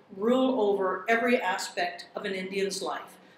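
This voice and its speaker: A woman talks at a moderate pace with ordinary pitch variation. Light background noise and audible room echo are present. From Canada, First Nations. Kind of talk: lecture. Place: hall.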